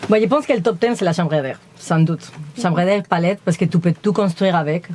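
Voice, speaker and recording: Amid noticeable background noise, a woman with a Spanish accent speaks at a fairly low pitch with ordinary pitch variation and very even loudness. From Spain. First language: Spanish (speaking French). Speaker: van-dwelling nomad. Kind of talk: casual chat. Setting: inside her truck during a home tour.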